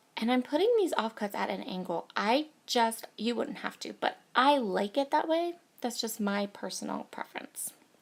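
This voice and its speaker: With noticeable background noise behind her, a woman talks at a moderate pace and a fairly high pitch, using lively intonation and hardly any pauses. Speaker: scrapbooking crafter. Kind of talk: craft process video voiceover. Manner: casual.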